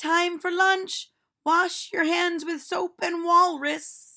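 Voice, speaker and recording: A woman uses a put-on character voice, squeaky and at an extremely high pitch. She speaks at a very slow pace in a monotone, flat intonation. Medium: read story. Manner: cheerful, playful.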